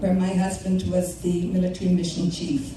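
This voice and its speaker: A woman talks in a room with audible echo, and noticeable background noise is present. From Ireland, County Tipperary. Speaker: political activist. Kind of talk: rally speech. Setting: rally with audience.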